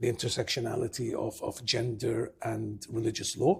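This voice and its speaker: Here a man speaks in a medium pitch at a moderate pace. His tone is dark and mellow and somewhat breathy. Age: 60s. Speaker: taxi driver and academic. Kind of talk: interview. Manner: halting, many fillers.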